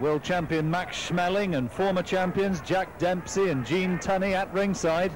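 Noticeable background noise sits under a man's high-pitched voice. His loudness stays very even. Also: moderate pace. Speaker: boxing commentator. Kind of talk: ring commentary. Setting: voiceover over archive fight footage. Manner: measured, crisp play-by-play, rising to urgent excitement at the controversial finish.

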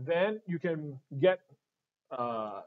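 A man with a Singaporean accent and lively intonation. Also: quiet background. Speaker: retail staff presenting audio products; presenter. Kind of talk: live-streamed product tutorial. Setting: showroom studio, live stream.

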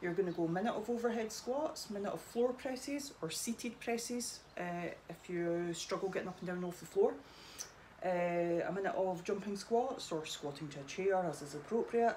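Lively female intonation at a moderate pace, with light background noise. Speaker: fitness coach. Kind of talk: workout tutorial. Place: garage. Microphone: camera far.

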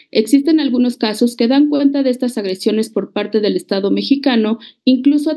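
The background stays quiet. A woman speaks fairly quickly, her pitch moving in a normal way. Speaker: presenter. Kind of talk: formal report presentation. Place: home room. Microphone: video call.

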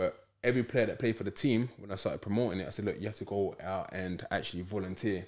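Speaking with a London accent at a very fast pace with hardly any pauses, the voice keeps a fairly even intonation against a quiet background. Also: man, fairly low pitch for a man. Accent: London Multicultural English. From London, Peckham. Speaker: football club founder; podcast guest. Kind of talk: casual interview chat. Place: studio. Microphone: studio mic.

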